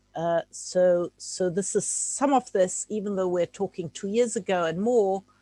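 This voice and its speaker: A woman at a medium pitch with a dark, mellow tone, a fairly slow pace with hardly any pauses, ordinary pitch variation, and a dry, close sound without echo. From Czechoslovakia, then Germany. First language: Czech. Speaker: art historian giving a talk. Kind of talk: lecture. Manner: halting, with many fillers.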